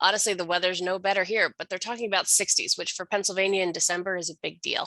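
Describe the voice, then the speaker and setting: A woman talks at a very fast pace and medium pitch. Her intonation is monotone and flat. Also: dry, close sound with no echo. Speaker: history education program director. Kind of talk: workshop presentation.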